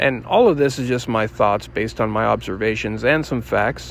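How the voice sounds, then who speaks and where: Pitched at a medium level with ordinary variation, a man with an unremarkable speaking voice talks at a fairly quick pace. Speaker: citizen journalist filming police. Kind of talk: vlog narration and on-camera questioning.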